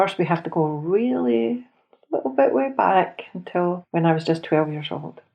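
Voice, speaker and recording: Lively intonation and a moderate pace mark this voice in a Scottish accent. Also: woman, fairly low pitch for a woman. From Scotland. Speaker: podcast host. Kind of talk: personal storytelling. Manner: conversational.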